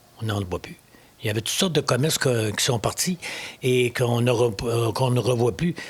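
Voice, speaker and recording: Noticeable background noise surrounds a man's medium-pitched voice. He talks at a fairly quick pace with ordinary pitch variation. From Quebec, Lower St. Lawrence (Mont-Joli). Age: 70s. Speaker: municipal election candidate. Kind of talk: interview. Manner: halting, frequent repetitions and hesitations.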